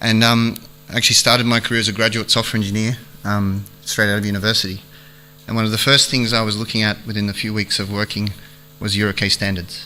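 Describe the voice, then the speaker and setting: A man with an Australian accent, fairly low in pitch, fairly quick, with monotone, flat intonation. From Australia, Melbourne. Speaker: aviation industry strategy manager. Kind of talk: conference keynote speech.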